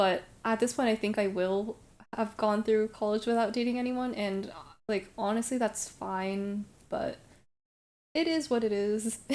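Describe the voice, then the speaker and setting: With an American accent, a woman speaks in a normal speaking voice at a fairly high pitch, fairly slow and with fairly even intonation. The recording is very clean, with a silent background. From Brooklyn, New York. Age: 20s. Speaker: streamer. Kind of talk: casual chat. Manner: casual, filler-heavy.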